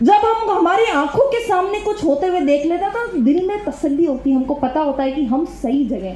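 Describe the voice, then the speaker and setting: High-pitched woman with an animated tone and very wide pitch swings, plus audible room echo and noticeable background noise. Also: moderate pace. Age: 20s. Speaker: motivational speaker at a network marketing seminar. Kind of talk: motivational talk.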